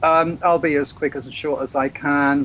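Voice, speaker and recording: A man in an English accent, monotone and flat, at a fairly slow pace. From England. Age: 60s. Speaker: freedom movement activist and author. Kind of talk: interview. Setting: Skype call. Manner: halting.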